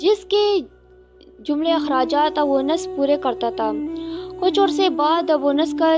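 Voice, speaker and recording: Music plays in the background as a woman talks in a high pitch with ordinary pitch variation. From Pakistan. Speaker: voice over artist. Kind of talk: religious story narration.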